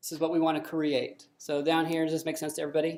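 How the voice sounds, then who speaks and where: Here is a woman talking. Her pace is very fast. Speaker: software developer giving internal training. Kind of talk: technical presentation. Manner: hesitant, many fillers.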